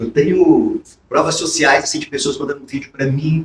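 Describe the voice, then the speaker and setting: His voice, somewhat breathy, moves at a medium speed with lively intonation. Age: 60s. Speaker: sales motivation speaker. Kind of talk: podcast interview. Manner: animated.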